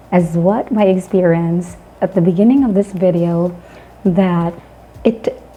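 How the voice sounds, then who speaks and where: A woman talks at a fairly slow pace with long, frequent pauses, her medium-pitched voice keeping very even loudness and fairly even intonation. Noticeable background noise runs underneath. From Philippines. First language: not English. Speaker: English teacher, online channel host. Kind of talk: educational talk. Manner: halting.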